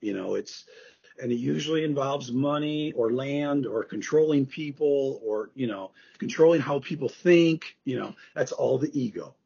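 An American-accented man at a fairly slow pace, his pitch fairly high. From US Midwest, Chicago area. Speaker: author and former college professor. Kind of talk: podcast interview. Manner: casual, many fillers.

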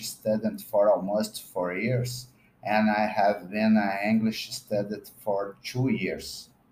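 The man talks very slowly. His delivery is monotone and flat. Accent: Brazilian. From Brazil. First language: Portuguese (speaking French). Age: 40s. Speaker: podcaster and language learner. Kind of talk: scripted reading.

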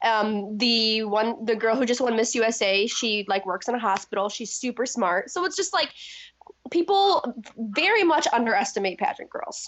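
Intonation here is lively, at a moderate speed. It is a normal speaking voice. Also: woman, fairly high pitch for a woman. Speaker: former pageant contestant. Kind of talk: casual interview chat.

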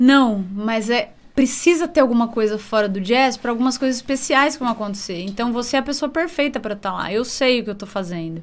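Speaking fairly quickly with hardly any pauses, a woman uses lively intonation at a high pitch. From interior of São Paulo state (Jaú, Bauru). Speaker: musician. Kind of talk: casual chat.

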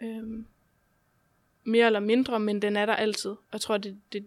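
At a moderate pace, a woman speaks with a fairly high pitch and monotone, flat intonation. The recording is very clean and the background silent. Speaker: guest with chronic illnesses. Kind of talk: casual interview.

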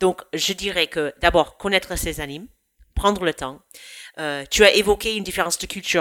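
A woman with an American accent, fairly low in pitch, at a moderate pace, with dry, close sound and no echo. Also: big swings in loudness. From United States. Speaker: youth camp program director. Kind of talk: podcast interview.

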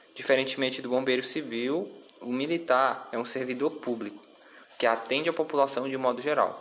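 A man at a medium pitch and moderate pace, with fairly even intonation and noticeable background noise. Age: 20s. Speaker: civil firefighter. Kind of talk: interview. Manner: formal.

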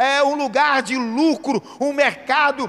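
Amid noticeable background noise, a man speaks at an extremely high pitch. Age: 40s. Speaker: pastor. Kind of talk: sermon.

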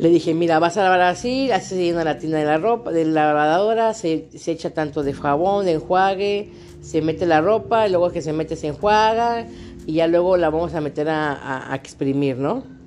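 A woman with a Mexican accent at a fairly low pitch and moderate pace, ordinary pitch variation, music in the background. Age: 30s. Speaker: podcaster with fibromyalgia. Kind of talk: personal vlog monologue.

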